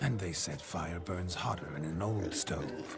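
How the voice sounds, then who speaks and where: A man puts on a character voice with a very deep, low pitch. He goes at a fairly slow pace amid loud background noise. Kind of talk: archaic courtly speech. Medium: machinima. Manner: theatrical, flirtatious.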